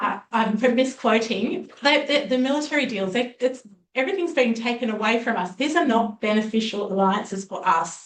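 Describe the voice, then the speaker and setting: Speech in an Australian accent moves at a moderate pace with hardly any pauses. The intonation is lively. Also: woman, fairly high pitch for a woman. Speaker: public inquiry presenter. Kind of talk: public hearing testimony. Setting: public hearing with audience.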